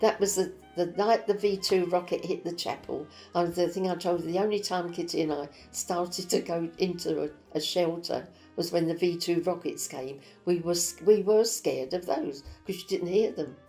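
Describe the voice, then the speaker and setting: With music in the background, a woman speaks at a moderate pace and fairly low pitch, her intonation fairly even. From East End London. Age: 80s+. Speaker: war survivor. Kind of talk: interview answer.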